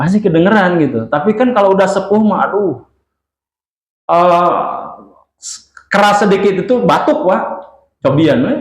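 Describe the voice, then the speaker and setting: Audible room echo surrounds the voice. Its delivery holds a moderate tempo. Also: man. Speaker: Islamic preacher. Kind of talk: religious lecture with Q&A. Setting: mosque. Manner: loud.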